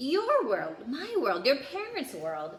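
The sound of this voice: A loud put-on character voice at a slow pace, full of very wide pitch swings. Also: woman, high pitch for a woman.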